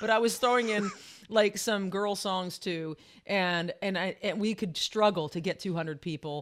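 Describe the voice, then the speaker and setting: An unremarkable speaking voice from a woman at medium pitch with ordinary pitch variation, on a very clean recording with a silent background. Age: 50s. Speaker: vocal teacher. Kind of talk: casual chat.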